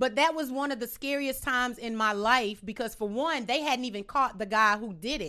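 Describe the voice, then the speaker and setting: A woman with an American accent speaks at a moderate pace in a high voice. Her tone is bright and sharp, with ordinary pitch variation. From US South, Louisiana and Dallas suburbs. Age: 30s. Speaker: comedian. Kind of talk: casual chat. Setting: studio.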